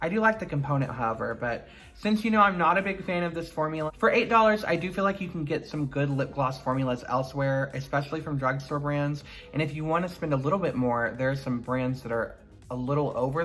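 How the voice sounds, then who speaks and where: Over clearly audible background noise, the talking moves along fairly quickly. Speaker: beauty YouTuber. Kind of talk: product review. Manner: casual, chatty.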